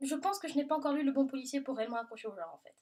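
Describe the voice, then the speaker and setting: This woman has a high-pitched voice. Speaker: book vlogger. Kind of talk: casual Q&A video monologue. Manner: loud; animated.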